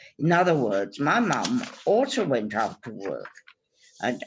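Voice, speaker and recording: A woman speaks at a very slow pace with a very deep, low pitch and vocal fry. Her pitch swings very widely. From Germany. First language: German. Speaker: Holocaust survivor. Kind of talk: testimony presentation.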